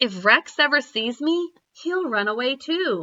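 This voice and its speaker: A woman puts on a character voice that is high in pitch. She speaks at a fairly slow pace with very wide pitch swings. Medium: read story.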